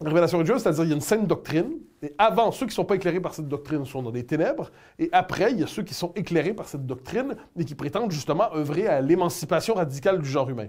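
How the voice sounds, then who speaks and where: Speaking very fast with a Quebec accent, a man uses a high pitch and lively intonation. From Canada. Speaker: political commentator. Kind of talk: interview answer.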